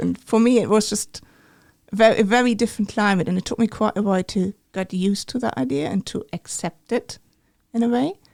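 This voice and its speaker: A woman with a German accent talks at a moderate pace in a medium pitch. Her tone is dark and mellow, and the sound is dry and close with no echo. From Germany. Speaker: medical imaging researcher. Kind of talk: interview.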